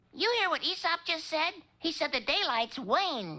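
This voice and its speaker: This cartoonish character voice sounds squeaky and high in pitch. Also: moderate pace. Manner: goofy, eager, naive.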